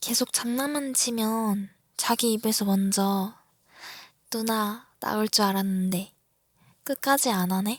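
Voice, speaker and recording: Very slow and broken by long, frequent pauses, the speech has a playful tone and fairly even intonation. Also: woman, fairly high pitch for a woman. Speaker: ASMR creator. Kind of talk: ASMR roleplay, girlfriend teasing her younger boyfriend in a whisper. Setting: roleplay for a listener, close-mic. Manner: whispery, close-mic, breathy, teasing and playful, with soft laughs; slow, intimate pacing, flustered and pleading toward the end.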